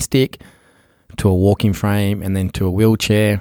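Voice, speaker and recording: Recorded very cleanly against a silent background, with a dry, close sound and no echo, a man speaks at a moderate pace with an Australian accent. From Australia, Sydney. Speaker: entrepreneur. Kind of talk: interview.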